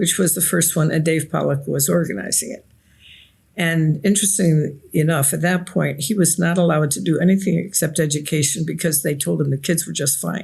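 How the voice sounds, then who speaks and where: A woman with a very deep, low pitch and vocal fry talks at a fairly quick pace with fairly even intonation. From Nigeria. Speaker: author and researcher. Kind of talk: interview. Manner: reflective storytelling.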